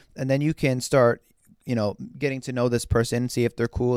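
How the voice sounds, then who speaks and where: A man talks at a fairly quick pace in a medium pitch. The recording is very clean, with a silent background. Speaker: podcast host and photographer. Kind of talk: casual solo podcast talk. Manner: casual, animated. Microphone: new microphone.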